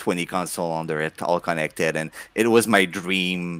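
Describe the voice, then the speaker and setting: A man speaks in a very deep, low voice with a strong French Canadian accent. The recording is very clean and the background silent. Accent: thick French Canadian. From Quebec. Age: 40s. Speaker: video game collector, content creator. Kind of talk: casual podcast interview. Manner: halting, repeats words.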